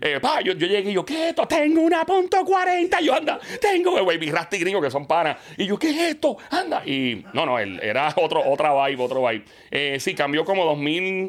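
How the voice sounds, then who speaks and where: Over noticeable background noise, a man speaks in an animated tone at a moderate pace. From Puerto Rico, partly raised in Queens, New York. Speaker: radio and TV host. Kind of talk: casual interview chat. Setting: studio.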